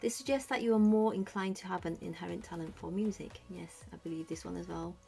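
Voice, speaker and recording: A woman is talking. Her accent is British. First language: Cantonese. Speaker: YouTuber. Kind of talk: casual product review vlog. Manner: hesitant, many fillers.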